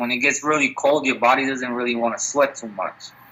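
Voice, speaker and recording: Noticeable background noise fills the clip. A man speaks at a fairly quick pace. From Puerto Rico. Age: 20s. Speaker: MMA fighter. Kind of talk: casual interview.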